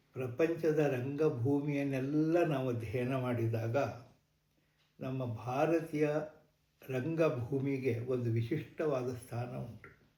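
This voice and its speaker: With audible room echo around him, a man speaks at a medium pitch in a somewhat breathy voice, his tone dark and mellow and his intonation fairly even. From Karnataka, Malenadu (Thirthahalli area). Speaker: Yakshagana artist and scholar. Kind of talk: interview. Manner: measured, explanatory.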